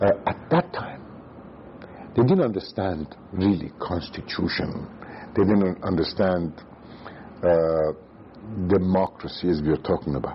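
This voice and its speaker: A man's very deep, low voice at a fairly slow pace, with ordinary pitch variation and long, frequent pauses. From Iran, Tehran. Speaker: former central banker and economist. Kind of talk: oral history interview. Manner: halting.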